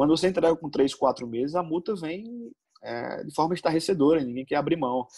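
Lively intonation from a man with a fairly high pitch, a dark, mellow tone and a fairly quick pace. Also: big swings in loudness. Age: 30s. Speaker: football coach. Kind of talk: interview. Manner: halting.

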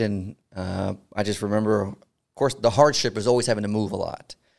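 On a very clean recording with a silent background, a man with an unremarkable speaking voice talks fairly quickly at a fairly low pitch with fairly even intonation. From Houston, Texas. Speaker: army veteran and podcast host. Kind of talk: casual interview.

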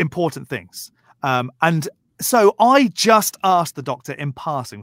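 A man with a southern English accent and lively intonation, on a very clean, dry, close recording with a silent background and no echo. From southern England, Berkshire. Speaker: YouTuber, atheist commentator. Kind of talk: casual chat.

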